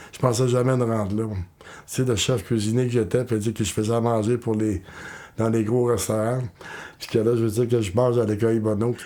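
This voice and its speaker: A man's fairly quick, monotone delivery with flat intonation, in a Quebec accent. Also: medium pitch for a man. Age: 60s. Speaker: former homeless person. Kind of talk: testimony.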